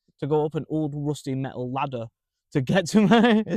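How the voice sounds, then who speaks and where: In a Manchester accent, a man speaks at a fairly high pitch with ordinary pitch variation and a dry, close sound with no echo. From Manchester, northern England. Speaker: stand-up comedian. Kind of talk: casual chat.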